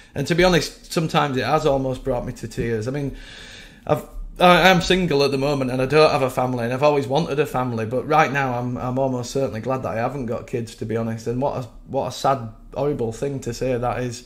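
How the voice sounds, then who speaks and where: A man with a West Yorkshire accent at a very fast pace, medium in pitch, with ordinary pitch variation. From West Yorkshire, England. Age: 40s. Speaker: web developer sharing views. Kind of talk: casual video monologue. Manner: rambly, hesitant. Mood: sad, frustrated. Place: home room. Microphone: webcam.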